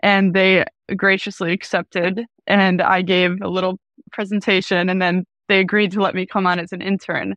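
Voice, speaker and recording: A woman talks at a moderate pace and medium pitch, her intonation monotone and flat. The sound is dry and close with no echo over a quiet background. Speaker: app developer. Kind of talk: interview.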